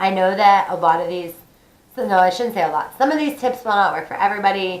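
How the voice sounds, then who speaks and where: The speech moves at a fairly quick pace with ordinary pitch variation, and the room echo is audible. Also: woman. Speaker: vlogger. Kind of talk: casual tutorial. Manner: chatty, informal.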